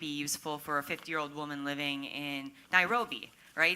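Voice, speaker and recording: The speaker has a bright, sharp tone with an American accent. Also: woman. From Minnesota, US Midwest. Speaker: tech startup community organizer. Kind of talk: panel discussion. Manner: animated.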